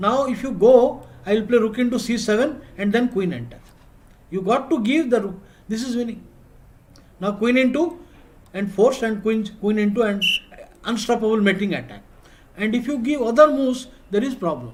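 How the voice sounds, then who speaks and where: Speaking with an Odisha accent, a man has an extremely high pitch and ordinary pitch variation. His moderate pace is broken by long, frequent pauses, and room echo is audible. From India, Odisha. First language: Odia. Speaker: chess coach. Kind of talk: online class. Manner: repetitive.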